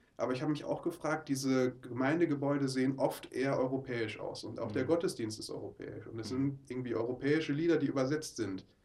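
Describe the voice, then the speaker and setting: A man speaks at a moderate pace. His voice is fairly high in pitch. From Ruhr area, Oberhausen. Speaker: mission trip leader. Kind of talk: interview. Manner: halting.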